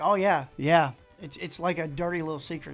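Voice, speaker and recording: Over music in the background, a man with an Appalachian accent talks at a high pitch with ordinary pitch variation. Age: middle-aged. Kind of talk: casual livestream talk.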